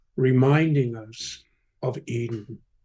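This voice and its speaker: With a dark, mellow tone, a man speaks at a medium pitch, somewhat breathy, with ordinary pitch variation. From England. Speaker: poet. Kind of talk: poetry reading.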